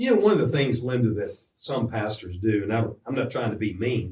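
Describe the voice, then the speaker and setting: A somewhat breathy man's voice at medium pitch, with a Virginia accent. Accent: Southern US (Virginia). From US South, Roanoke, Virginia. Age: 70s. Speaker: pastor. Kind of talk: radio interview.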